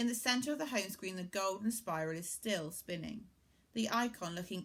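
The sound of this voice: The passage is read in an unforced voice.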